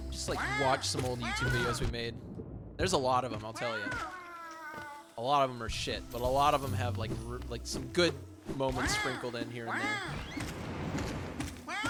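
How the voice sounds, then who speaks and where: A man at a moderate pace with long, frequent pauses, audible room echo and music in the background. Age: 20s. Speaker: video game streamer. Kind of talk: casual chat. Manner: casual, halting.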